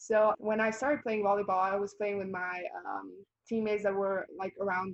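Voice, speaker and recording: A woman at a medium pitch with fairly even intonation. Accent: Bosnian. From Bosnia and Herzegovina. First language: Bosnian. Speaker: college volleyball player. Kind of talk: interview.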